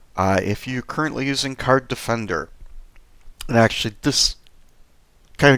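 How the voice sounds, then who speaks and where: A very clean recording of a man talking with ordinary pitch variation, the background silent. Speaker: software sales consultant. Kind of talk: tutorial.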